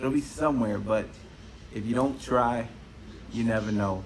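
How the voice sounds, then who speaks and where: A man with an American accent, medium-pitched, at a fairly quick pace, with audible room echo. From Cuba-born, raised in the US from age four. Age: 30s. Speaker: podcast host. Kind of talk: casual solo podcast monologue. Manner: fast; rambling, animated.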